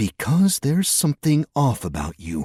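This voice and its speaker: A put-on character voice is used. It moves at a moderate pace. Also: man. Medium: read story. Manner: curt, questioning, mocking.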